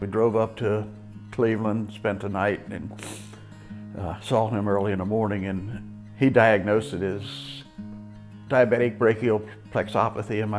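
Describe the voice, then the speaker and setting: With music in the background, a man talks at a moderate pace in a fairly low, monotone voice with flat intonation. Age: 70s. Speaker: rehabilitation patient. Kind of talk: testimony.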